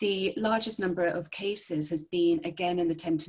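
Fairly even intonation is heard against a quiet background. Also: woman. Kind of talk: press briefing. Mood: calm, serious. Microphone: video call.

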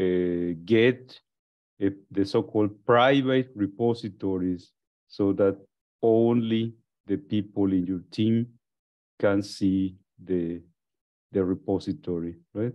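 Against a quiet background, a man speaks at a very slow pace with long, frequent pauses, a fairly low pitch and ordinary pitch variation. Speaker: course instructor. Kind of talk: lecture.

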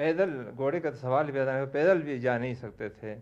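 A man speaks with ordinary pitch variation. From Baltistan, northern Pakistan (Shigar valley). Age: 60s. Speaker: former local royal, poet and polo player. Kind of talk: interview. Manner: halting.

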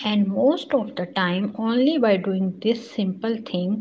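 A woman with a somewhat breathy voice talks at a very slow pace. Light background noise can be heard. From Pakistan. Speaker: sewing instructor. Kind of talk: tutorial. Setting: live stream. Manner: halting, many fillers. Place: home room. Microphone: phone near.

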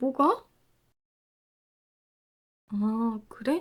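A woman's breathy, put-on character voice at a very slow pace. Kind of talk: roleplay audio drama. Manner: breathy, close.

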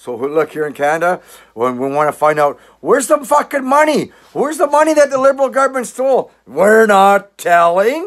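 A man speaks with very wide pitch swings and big swings in loudness. The background is quiet. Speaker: political commentator vlogger. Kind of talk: casual vlog rant. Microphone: phone near.

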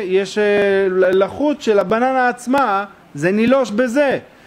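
At a very slow pace, the voice carries ordinary pitch variation. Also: man. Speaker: religious teacher. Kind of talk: lecture. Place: hall. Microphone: podium.

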